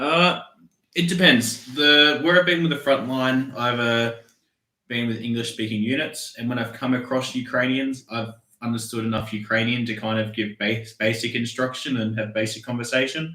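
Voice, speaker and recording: A man speaks with an Australian accent at medium pitch and a moderate pace. His tone is bright and sharp, with ordinary pitch variation. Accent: Australian, mild by own account. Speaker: soldier. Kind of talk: casual chat.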